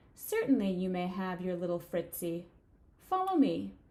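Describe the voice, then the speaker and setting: Growling in a put-on character voice, a woman speaks at a moderate pace and medium pitch. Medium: read story. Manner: theatrical, mocking.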